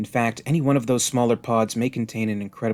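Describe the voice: The voice is reading aloud. The reading is plain.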